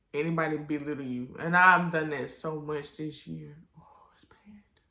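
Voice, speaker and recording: With an American accent, a woman with a very deep, low pitch speaks at a fairly slow pace in a bright, sharp tone, with audible room echo around her. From Washington DC. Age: 20s. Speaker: vlogger. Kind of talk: personal testimony vlog.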